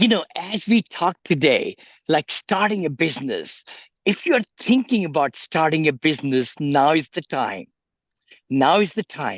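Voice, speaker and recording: With an enthusiastic tone, a man speaks at a fairly slow pace in a high pitch, recorded with a dry, close sound and no echo. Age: 70s. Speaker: real estate investor and motivational speaker. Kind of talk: motivational advice in interview.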